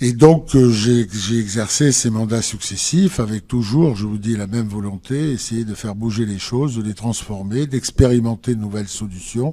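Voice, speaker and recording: A man has a dark, mellow tone at a medium pitch, with ordinary pitch variation. He keeps a moderate pace with hardly any pauses. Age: 60s. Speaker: politician. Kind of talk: political interview. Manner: hesitant, many fillers.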